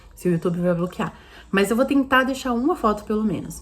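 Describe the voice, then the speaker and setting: Her pitch fairly high, a woman speaks at a fairly quick pace with lively intonation. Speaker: vlogger mother. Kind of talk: casual vlog monologue. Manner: fast.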